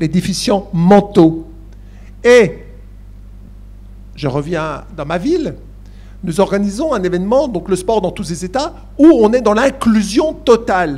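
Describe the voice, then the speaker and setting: A man with a Franche-Comté accent, high-pitched yet dark and mellow in tone, very slow, with lively intonation and long, frequent pauses. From eastern France, Besançon. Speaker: university academic, Olympic studies. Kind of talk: panel discussion Q&A. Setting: conference with live audience. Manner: hesitant, many fillers.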